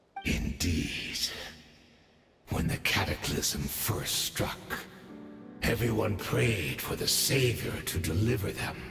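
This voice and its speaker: With faint music in the background, a man puts on a character voice with a very deep, low pitch and very wide pitch swings, speaking at a fairly slow pace with long, frequent pauses. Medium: video game. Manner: measured, reflective.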